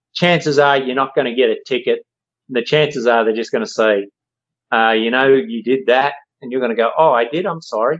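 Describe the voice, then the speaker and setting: A medium-pitched man with an Australian accent, a fairly quick pace and ordinary pitch variation, over a quiet background. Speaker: co-host, parent. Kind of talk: casual chat.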